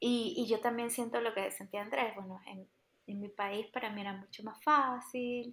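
An ordinary speaking voice from a woman, fairly high in pitch, at a moderate pace, with fairly even intonation and big swings in loudness. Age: 30s. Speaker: immigrant and migration coach. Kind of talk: casual chat.

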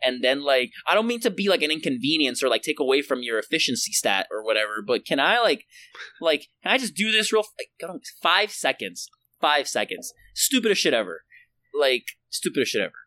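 Swinging widely in pitch, a man with a Puerto Rican accent talks fairly quickly in a fairly high, bright, sharp voice, the sound dry and close without echo. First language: Spanish. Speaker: podcast co-host. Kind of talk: casual chat.

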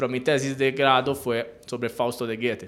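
Monotone, flat delivery in an Italian accent. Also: man. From Italy, island of Elba. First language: Italian (speaking Spanish). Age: 30s. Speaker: university researcher, philosopher. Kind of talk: radio interview.

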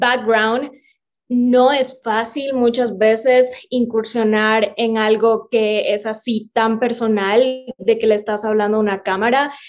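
A plain, everyday voice from a woman, fairly high in pitch, fairly slow, with fairly even intonation. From Ecuador, Cuenca. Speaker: vegan content creator and film student. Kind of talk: casual interview chat.

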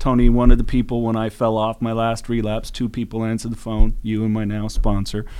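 With monotone, flat intonation, a man talks fairly quickly at a medium pitch. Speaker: podcast co-host in addiction recovery. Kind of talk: casual interview conversation.

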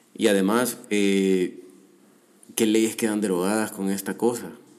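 This man has a fairly low pitch and fairly even intonation. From El Salvador. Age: 30s. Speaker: podcast host, economist. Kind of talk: solo commentary podcast. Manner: halting, many repetitions and fillers.

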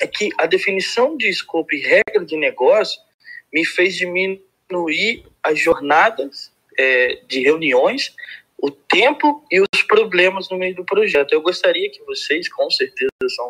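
This is a man's voice. The recording sounds dry and close, without any echo. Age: 30s. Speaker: software company owner. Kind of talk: casual chat. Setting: audio chat room.

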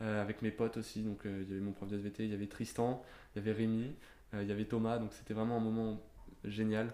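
A man's dark, mellow, fairly low voice, monotone and flat, at a very fast pace. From Normandy, France. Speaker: podcast guest. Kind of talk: casual interview.

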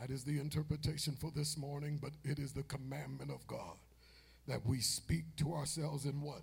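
Here a man talks at a moderate pace with an animated tone. His voice is fairly high and carries some vocal fry. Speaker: preacher. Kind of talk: sermon. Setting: church. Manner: animated, call-and-response, exhorting the congregation; emphatic, commanding.

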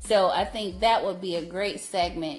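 Using a normal speaking voice, a woman talks at a medium pitch with fairly even intonation. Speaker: podcast co-host. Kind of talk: casual chat.

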